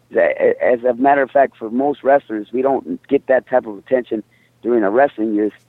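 A man with an ordinary speaking voice talks at a medium pitch. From Mexico, raised in the US. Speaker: mixed martial arts fighter. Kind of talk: interview.

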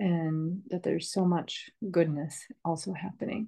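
Her fairly low pitch and dark, mellow tone mark this woman, who speaks with a Northeastern US accent. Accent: American (Northeastern US). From US, upstate New York (Rochester). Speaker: herbalist and permaculture teacher. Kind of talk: interview.

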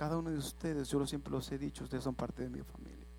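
Recorded with audible room echo, a man talks at a fairly quick pace. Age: 30s. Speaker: lay preacher. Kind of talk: sermon.

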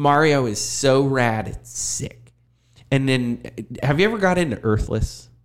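Ordinary pitch variation and a fairly slow pace in a plain, everyday voice. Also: man, medium pitch for a man. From Erie, Pennsylvania. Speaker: university teacher and former punk drummer. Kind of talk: casual chat.

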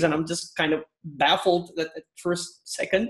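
A man speaks with a Turkish accent. His pitch is high. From Turkey, Istanbul. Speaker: IT consultant. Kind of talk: casual interview.

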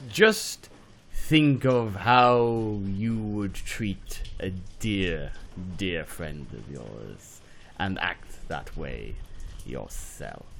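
Clear background noise sits behind a man doing a put-on character voice at a fairly low pitch. He goes at a very slow pace, with big swings in loudness. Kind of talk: hammy villain monologue. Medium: comedy sketch. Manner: silky, gloating, melodramatic.

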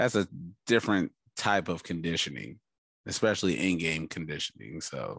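A man with a very deep, low pitch and vocal fry uses lively intonation, recorded with a dry, close sound with no echo against a quiet background. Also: moderate pace. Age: 30s. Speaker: sports podcast host. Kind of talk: casual chat.

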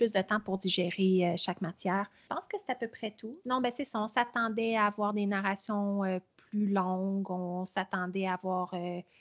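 A woman speaks at a moderate pace and medium pitch, her intonation fairly even.

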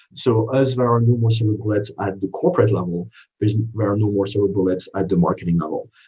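A man with a French accent talks at a very fast pace in a fairly low voice. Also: ordinary pitch variation. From France. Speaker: marketing executive. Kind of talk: interview. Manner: halting.

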